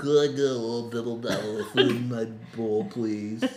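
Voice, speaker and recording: A man puts on a character voice at a medium pitch. He keeps a moderate pace. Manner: silly, cutesy.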